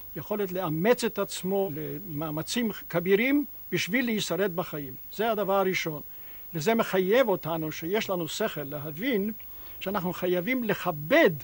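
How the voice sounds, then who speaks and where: This man speaks with a high pitch and lively intonation. His pace is fairly slow. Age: 80s+. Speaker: farmer and natural health instructor. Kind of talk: interview answer.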